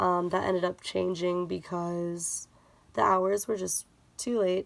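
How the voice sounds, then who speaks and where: A woman's fairly low-pitched voice at a fairly slow pace, with ordinary pitch variation. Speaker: vlogger. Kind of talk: casual vlog update. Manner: speaking lower than usual; hesitant, many fillers.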